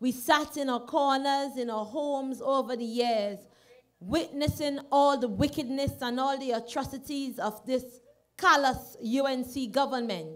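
A woman with a high voice talks at a fairly slow pace. Her pitch varies in an ordinary way against a quiet background. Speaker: candidate. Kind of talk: campaign rally speech. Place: stage. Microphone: studio mic.

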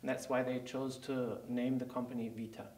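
A man speaks with a German accent. Room echo is audible. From Germany. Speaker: company CEO. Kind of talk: interview. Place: studio.

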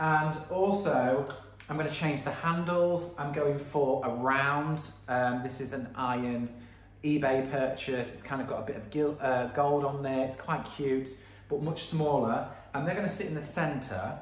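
A man at a fairly slow pace with fairly even intonation and audible room echo. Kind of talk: tutorial. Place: workshop. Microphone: phone near.

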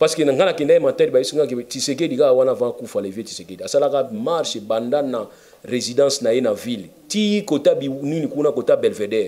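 A man's dark, mellow voice at a fairly quick pace, full of lively intonation. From DR Congo. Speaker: lawyer and political commentator; lawyer, political commentator. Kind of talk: interview. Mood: animated, argumentative. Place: office.

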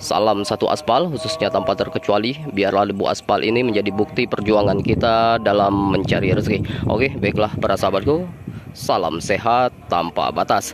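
Over loud background noise, a man talks at a moderate pace with ordinary pitch variation and hardly any pauses. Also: dry sound with no echo. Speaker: bus-spotting vlogger. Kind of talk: casual vlog chat. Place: street. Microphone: phone near.

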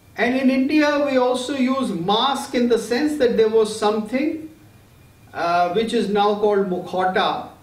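Pitched extremely high, a man speaks at a fairly slow pace with audible room echo. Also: ordinary pitch variation. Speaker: lecturer on Greek theatre. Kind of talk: lecture. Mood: calm, warm, explanatory. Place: home room. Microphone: webcam.

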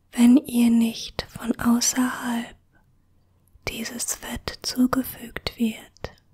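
Whispering at a very slow pace, a woman uses a soothing tone over a quiet background. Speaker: ASMR creator. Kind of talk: ASMR whisper tutorial. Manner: hushed, slow and soothing, whispered softly.

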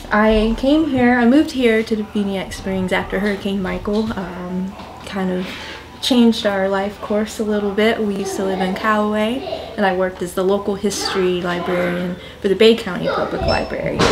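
A woman speaks with fairly even intonation. Noticeable background noise runs underneath. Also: moderate pace. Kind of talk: interview answer. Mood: friendly, smiling. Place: hall.

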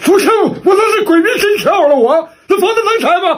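This man is doing a put-on character voice. His pitch is extremely high. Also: moderate pace. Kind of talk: comedy sketch dialogue. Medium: role play.

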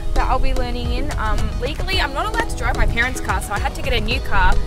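Over loud music in the background, a woman talks at a very fast pace in a dry recording with no echo. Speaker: vlogger. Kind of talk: casual vlog chat. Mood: excited, a bit nervous. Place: street.

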